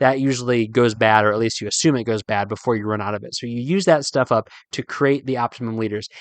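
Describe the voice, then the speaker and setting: Talking at a very fast pace with hardly any pauses, a man at a medium pitch uses ordinary pitch variation in a dry, close sound with no echo. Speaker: fly fishing podcast host. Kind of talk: solo podcast tutorial.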